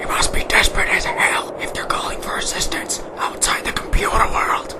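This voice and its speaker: Someone whispers in a cartoonish character voice at a moderate pace amid loud background noise. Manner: blunt, aggressive.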